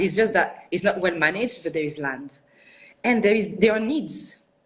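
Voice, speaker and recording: This woman has a French accent. Her pace is moderate. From France, Paris suburbs. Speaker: architect and studio founder. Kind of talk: interview. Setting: live online video interview. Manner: halting, many restarts.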